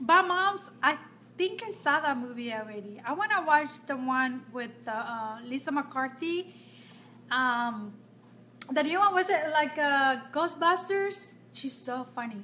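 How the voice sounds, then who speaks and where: A woman uses a raised, projected voice at a high pitch, with lively intonation. She goes at a fairly slow pace over light background noise. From Nicaragua. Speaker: makeup vlogger. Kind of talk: live-stream makeup tutorial. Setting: home, live video stream. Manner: casual, chatty with frequent fillers. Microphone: phone near.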